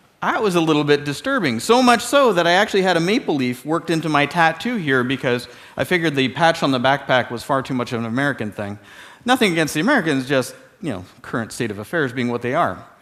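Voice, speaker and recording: With music in the background, a man with a Canadian accent speaks very fast at a fairly high pitch, using very wide pitch swings. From Canada. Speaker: security expert. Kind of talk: keynote talk. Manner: casual, conversational.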